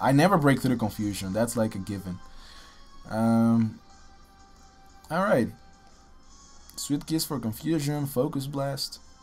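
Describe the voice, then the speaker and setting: Music plays in the background as a man speaks fairly slowly. His pitch is medium and his intonation lively. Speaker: gaming commentator. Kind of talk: live game commentary. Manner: casual.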